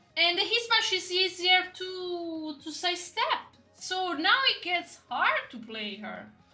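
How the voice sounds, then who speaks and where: A woman speaks in a raised, projected voice at an extremely high pitch. Her pitch swings very widely as she goes at a very slow pace. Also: big swings in loudness. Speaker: gaming content creator. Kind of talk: casual commentary to camera. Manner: halting.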